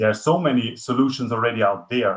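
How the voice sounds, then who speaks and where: Speaking with a non-native accent, this man keeps up a fairly quick pace. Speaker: climate expert, guest lecturer. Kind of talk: lecture. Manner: halting, many fillers and restarts.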